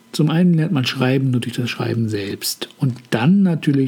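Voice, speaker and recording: There is noticeable background noise behind a man at a medium pitch. His intonation is lively and his pace moderate. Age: 50s. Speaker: podcast host, hobby author. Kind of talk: scripted monologue. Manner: formal.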